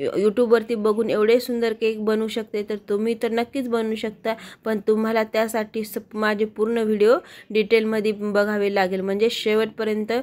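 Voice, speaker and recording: This woman's voice sits at a fairly high pitch. She keeps her intonation flat and monotone. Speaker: home baker, cake tutorial youtuber. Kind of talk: voice-over cooking tutorial. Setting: home, early morning. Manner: soft-spoken, low volume.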